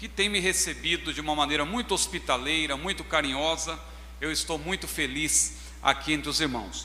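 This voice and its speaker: A man with a São Paulo accent at a moderate pace, with audible room echo. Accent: paulista accent kept. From Brazil, São Paulo. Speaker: pastor. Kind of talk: sermon. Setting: church.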